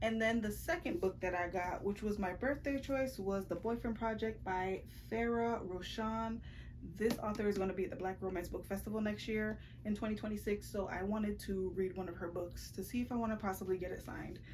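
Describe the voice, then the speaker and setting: Amid noticeable background noise and audible room echo, a woman of medium pitch talks at a fairly quick pace with ordinary pitch variation. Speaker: book vlogger. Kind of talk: casual vlog chat. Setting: bedroom. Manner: fast.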